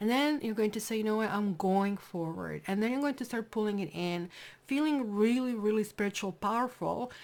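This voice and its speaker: In a very clean recording with a silent background, a woman with a non-native accent and fairly high pitch speaks at a fairly quick pace, her pitch varying in an ordinary way. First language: not English. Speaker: tarot reader. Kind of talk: tarot reading. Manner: casual, conversational.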